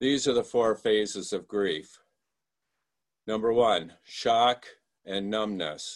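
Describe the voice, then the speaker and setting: A man's fairly low voice with an American accent at a very slow pace, with long, frequent pauses, ordinary pitch variation and a quiet background. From Michigan. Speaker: lay speaker giving a sermon. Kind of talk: sermon. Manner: halting.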